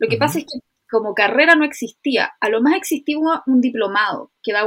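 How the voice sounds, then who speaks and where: A woman talks very fast with a Chilean accent and lively intonation. The sound is dry and close, with no echo. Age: 30s. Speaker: illustrator and ceramicist. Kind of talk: casual chat.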